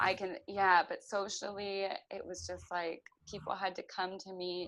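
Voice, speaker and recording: A woman at a medium pitch with fairly even intonation and a moderate pace. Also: big swings in loudness. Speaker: concussion patient sharing her recovery. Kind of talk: interview testimony. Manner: halting, searching for words with fillers; hesitant with frequent um.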